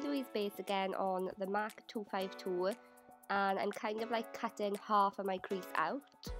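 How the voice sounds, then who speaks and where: A woman with a British accent speaks at a medium pitch and moderate pace, her loudness very even, as music plays in the background. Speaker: beauty youtuber. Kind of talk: makeup tutorial voiceover. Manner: casual, chatty.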